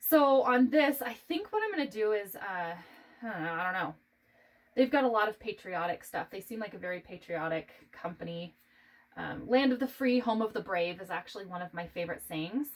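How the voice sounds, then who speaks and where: Speaking in an American accent, a woman has an unremarkable speaking voice at a medium pitch, with lively intonation and big swings in loudness at a fairly quick pace. The recording is very clean, with a silent background. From United States. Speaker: art tutorial creator. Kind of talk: tutorial. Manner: casual, chatty.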